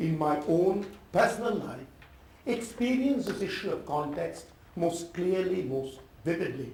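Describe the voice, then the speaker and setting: A man with an Indian accent speaks in a high voice with lively intonation. Audible room echo and noticeable background noise surround him. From India, Calcutta. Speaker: professor. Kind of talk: talk to an audience.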